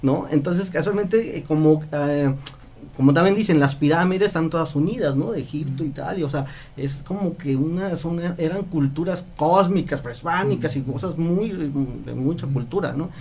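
Moderately paced male speech, fairly high in pitch, with ordinary pitch movement and audible room echo. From Mexico, Mérida (Yucatán). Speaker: visiting friend. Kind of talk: casual interview.

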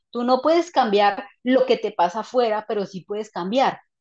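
A woman with an animated tone and a fairly high pitch talks at a moderate pace, using ordinary pitch variation. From Colombia. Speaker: psychologist and author. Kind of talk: interview.

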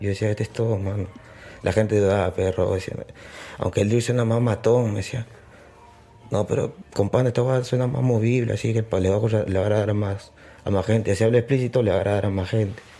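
A man speaks in a fairly low, somewhat breathy voice with fairly even intonation. His pace is fairly quick, broken by long, frequent pauses. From Peru, Lima (Surquillo). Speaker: drill rapper. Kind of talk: casual interview.

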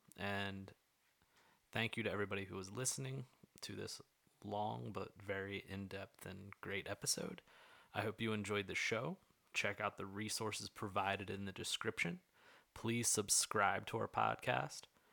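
Fairly slow, fairly low-pitched speech from a man with an American accent, vocal fry, a bright, sharp tone, ordinary pitch variation and long, frequent pauses. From central Pennsylvania. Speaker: podcast host, physical educator. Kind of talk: scripted show intro and outro; casual interview chat.

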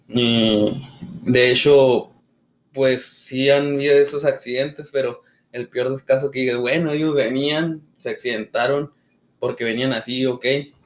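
Speaking at a fairly slow pace, the man keeps a monotone, flat intonation. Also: medium pitch for a man. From northern Mexico, Chihuahua. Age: 20s. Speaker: podcast host. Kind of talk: casual chat.

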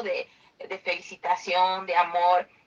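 A woman speaks at a very slow pace. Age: 30s. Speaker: podcast host. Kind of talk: interview.

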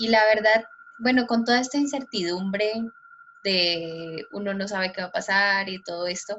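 This woman has a plain, everyday voice. She speaks at a moderate pace with a medium pitch and ordinary pitch variation. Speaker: podcast co-host. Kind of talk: casual interview.

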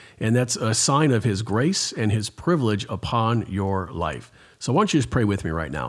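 A man with a fairly low pitch and a normal speaking voice talks at a moderate pace with lively intonation, on a very clean recording with a silent background. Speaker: pastor. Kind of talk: interview.

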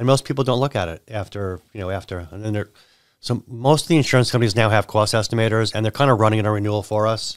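A man with an American accent and a fairly low pitch, very fast pace and ordinary pitch variation, on a very clean recording with a silent background. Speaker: insurance agent and business owner. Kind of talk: casual chat. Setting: studio.

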